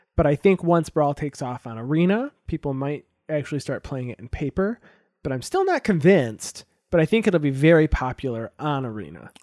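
A man with an unremarkable speaking voice talks at a fairly quick pace and fairly high pitch, with lively intonation and big swings in loudness. The recording is very clean, with a silent background. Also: dry, close sound with no echo. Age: 20s. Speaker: podcast host. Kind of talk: casual chat.

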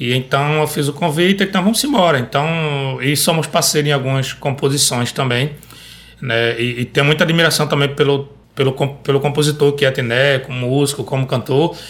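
An ordinary speaking voice from a man, fairly high in pitch, with fairly even intonation at a moderate pace. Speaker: singer-songwriter and rabeca player. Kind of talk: casual chat. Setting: studio.

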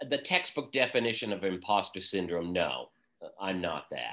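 With an American accent, a man speaks in a bright, sharp tone at a fairly low pitch against a quiet background. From US Northeast (Vermont). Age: 60s. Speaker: small business owner. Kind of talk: casual interview.

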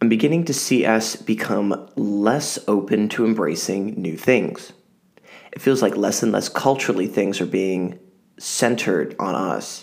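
A man's fairly low-pitched voice with vocal fry, ordinary pitch variation and a fairly slow pace. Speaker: podcast host. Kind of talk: scripted monologue.

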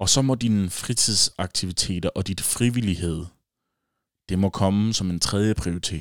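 Ordinary pitch variation marks this speech, which unfolds at a fairly slow pace. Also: man. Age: 20s. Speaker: podcast host. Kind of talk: solo casual monologue. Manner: hesitant, many fillers.

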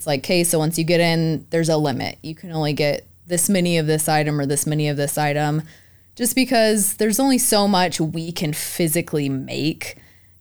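A woman with a normal speaking voice and fairly low pitch talks at a fairly quick pace with ordinary pitch variation, on a very clean recording with a silent background. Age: 20s. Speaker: baker and bakery owner. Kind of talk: casual chat.

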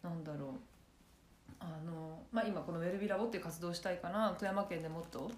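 A fairly low-pitched, somewhat breathy woman talks at a fairly quick pace with ordinary pitch variation and long, frequent pauses, and room echo is audible. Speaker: podcast co-host. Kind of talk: casual chat.

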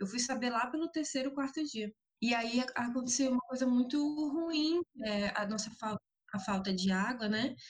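A high-pitched woman's voice at a moderate pace, with ordinary pitch variation. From Amapá, northern Brazil. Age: 20s. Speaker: environmental activist and psychology student. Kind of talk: casual interview.

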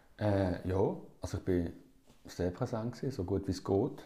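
In a fairly low, somewhat breathy voice, a man speaks. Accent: Basel. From Switzerland, Basel. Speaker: musician. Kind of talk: casual chat. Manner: halting.

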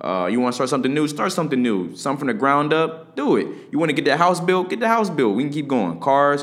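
A man with a fairly high pitch, an animated tone and very wide pitch swings, racing at a very fast pace with hardly any pauses. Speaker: podcast host. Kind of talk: solo motivational podcast talk.

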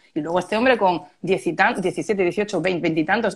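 Speaking at a moderate pace, a woman has an unremarkable speaking voice with a medium pitch and ordinary pitch variation. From Málaga, Andalusia, Spain. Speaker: copywriter. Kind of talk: casual chat.

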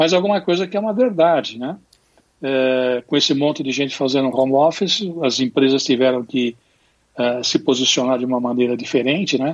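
A man speaks with a fairly high pitch. His pace is moderate and his pitch variation ordinary. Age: 60s. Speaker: business consultant. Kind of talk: interview. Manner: halting.

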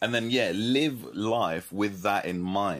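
The recording is very clean, with a silent background. A man with a London accent speaks at a moderate pace, with a fairly low pitch and ordinary pitch variation. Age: 20s. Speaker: church student leader and entrepreneur. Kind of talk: interview and advice talk.

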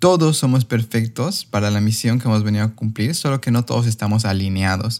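A man in an ordinary speaking voice talks at a fairly quick pace with ordinary pitch variation and very even loudness, the sound dry and close with no echo. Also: medium pitch for a man. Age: 30s. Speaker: podcast host and coach. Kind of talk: podcast interview.

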